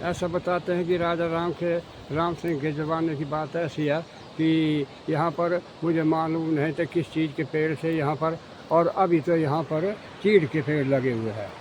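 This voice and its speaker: A man's fairly high-pitched voice with fairly even intonation, against noticeable background noise. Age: 70s. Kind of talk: interview answer, telling a story.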